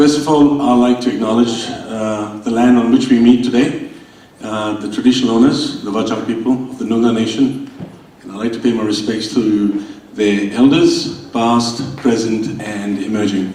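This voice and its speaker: A man speaks at medium pitch and a moderate pace, his intonation fairly even but his loudness swinging widely. There is audible room echo and noticeable background noise. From India. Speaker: state politician. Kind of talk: welcome speech at event. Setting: stage with audience.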